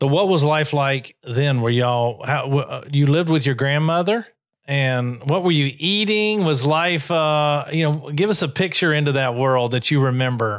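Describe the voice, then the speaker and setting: A man has an unremarkable speaking voice, fairly high in pitch with ordinary pitch variation. He keeps a moderate pace with hardly any pauses and very even loudness. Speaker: podcast co-host. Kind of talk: casual interview.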